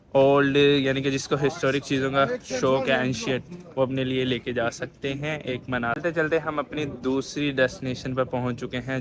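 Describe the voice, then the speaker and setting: A man at a medium pitch speaks in a flat monotone against noticeable background noise. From Pakistan. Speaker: travel vlogger. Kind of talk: travel vlog narration. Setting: outdoors walking in old city streets.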